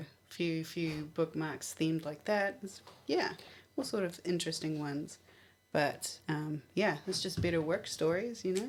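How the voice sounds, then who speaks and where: A woman's fairly low voice with a New Zealand accent, ordinary pitch variation and a moderate pace. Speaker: library radio show co-host. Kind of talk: casual radio chat.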